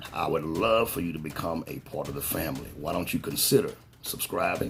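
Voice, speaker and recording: A man talks at a moderate pace while noticeable noise carries on behind him. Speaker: fragrance reviewer. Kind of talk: casual product review. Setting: at home.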